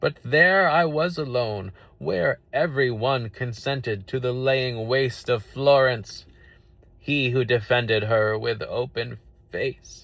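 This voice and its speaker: Putting on a character voice, a man talks at a medium pitch with ordinary pitch variation. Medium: read story. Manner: stately, grave.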